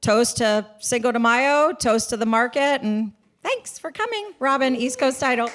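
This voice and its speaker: A loud, high-pitched woman's voice at a moderate pace. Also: ordinary pitch variation. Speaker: title company representative. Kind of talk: sponsor pitch at event.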